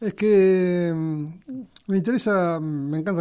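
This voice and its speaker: Speaking with a Rioplatense accent, a man has a high pitch and a dark, mellow tone with ordinary pitch variation. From Argentina, Buenos Aires area. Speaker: railway museum director. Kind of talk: interview. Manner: halting.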